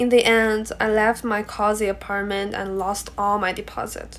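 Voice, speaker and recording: Speaking at a moderate pace, a woman with a Chinese accent uses a fairly high pitch. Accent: Mandarin Chinese accent in English. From China. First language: Mandarin. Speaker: international student. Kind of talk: class presentation speech.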